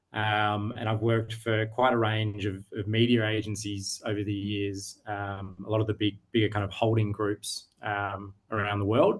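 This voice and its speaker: A man speaks in an Australian accent at a fairly low pitch and moderate pace. His intonation is monotone and flat, with hardly any pauses. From Australia, Sydney. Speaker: digital media business owner. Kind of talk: interview. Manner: halting, many fillers.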